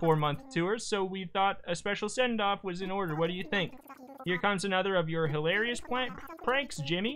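An unforced reading voice carries the text while its pitch varies in an ordinary way.

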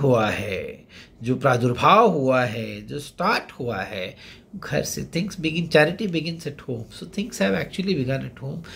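The speech moves at a very slow pace, with vocal fry and very wide pitch swings. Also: man. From India. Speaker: SSB interview coach. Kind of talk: monologue tutorial. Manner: code-switching Hindi-English. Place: home room. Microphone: phone near.

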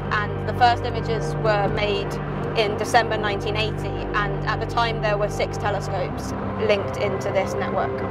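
Loud music plays behind fairly quick speech with a dry sound and no echo. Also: woman. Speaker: presenter. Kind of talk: explanatory commentary. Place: car. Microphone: phone near.

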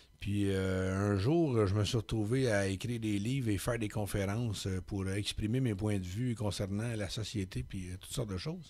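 Hardly pausing, a man with a fairly low pitch speaks at a moderate pace with ordinary pitch variation. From Quebec, Laurentians countryside; Quebec. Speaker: poet and public speaker; poet, public speaker. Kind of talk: radio interview. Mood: calm, reflective, candid. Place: studio. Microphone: studio mic.

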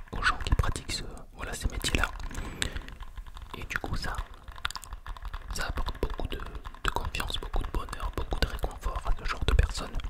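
A soft-spoken, whispering man at a moderate pace, with long, frequent pauses. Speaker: ASMR creator. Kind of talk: soft ASMR talk to viewers. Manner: soft close-mic ASMR whisper. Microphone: studio mic.

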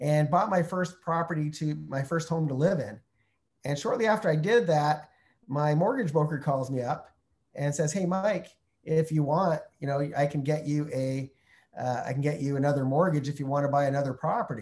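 In a Canadian accent, the speaker talks at a fairly quick pace, somewhat breathy, with ordinary pitch variation. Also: man, fairly high pitch for a man. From Canada (Montreal, then Calgary). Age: 50s. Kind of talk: webinar Q&A. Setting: online video call from Mexico. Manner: friendly, conversational. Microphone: video call.

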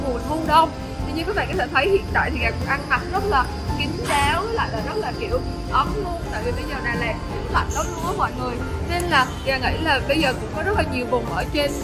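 Loud music plays in the background as a woman talks at a very fast pace. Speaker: fashion vlogger. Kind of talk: casual vlog chat. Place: market. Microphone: phone near.

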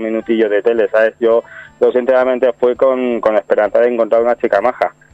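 Music plays in the background. Over it, a man talks at a medium pitch. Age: 30s. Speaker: reality TV participant and amateur actor. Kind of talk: radio interview.

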